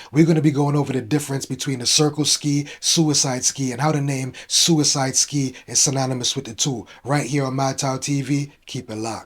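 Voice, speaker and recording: In a Brooklyn accent, a man speaks fairly quickly at a fairly high pitch with monotone, flat intonation. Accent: New York (Brooklyn). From New York (Brooklyn). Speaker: fashion vlogger. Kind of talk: casual vlog commentary.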